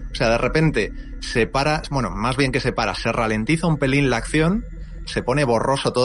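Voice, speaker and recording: A plain, everyday voice at a fairly quick pace. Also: man. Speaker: YouTuber. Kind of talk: casual chat.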